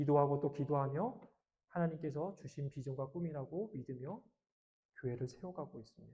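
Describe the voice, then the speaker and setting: A man with a fairly high pitch and a dark, mellow tone sounds somewhat breathy. He talks at a fairly quick pace with ordinary pitch variation and big swings in loudness. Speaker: pastor. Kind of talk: sermon.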